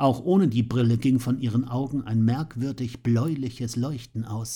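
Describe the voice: The clip is plain reading aloud. Its intonation holds fairly even throughout.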